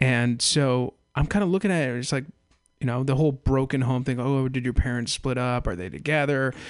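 A man with a normal speaking voice, medium pitch and ordinary pitch variation, at a fairly quick pace against a quiet background. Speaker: radio host. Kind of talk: casual chat. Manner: casual, rambling with many fillers.

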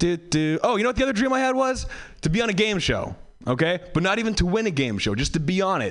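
Room echo is audible around the speaker. He is a man talking at a fairly quick pace. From Hawaii. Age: young. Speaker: comedian. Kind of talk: stand-up. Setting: stage with audience.

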